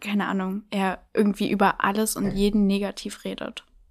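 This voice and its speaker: A woman with a normal speaking voice, medium pitch and fairly slow pace. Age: 20s. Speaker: blind date contestant. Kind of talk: casual chat.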